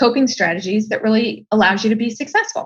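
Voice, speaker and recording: Somewhat breathy, a woman with an American accent speaks at a fairly high pitch and a moderate pace with ordinary pitch variation. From Ohio, US. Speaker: design expert and entrepreneur. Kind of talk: podcast interview.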